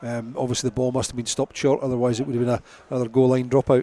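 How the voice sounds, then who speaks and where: A man with a Scottish accent speaks very fast at medium pitch, in a monotone, flat intonation. The sound is dry and close, with no echo. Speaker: rugby match analyst / co-commentator. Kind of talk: live sports radio commentary. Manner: conversational, with frequent fillers and repetitions.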